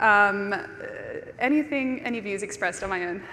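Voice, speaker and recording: A woman with an Australian accent speaks at a medium pitch with lively intonation, amid audible room echo and noticeable background noise. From Australia (Brisbane). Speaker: conference speaker. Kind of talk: conference talk. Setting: stage with audience.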